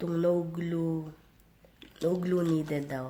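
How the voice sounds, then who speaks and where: Amid noticeable background noise and audible room echo, a woman speaks very slowly. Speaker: vlogger. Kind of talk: casual vlog talk.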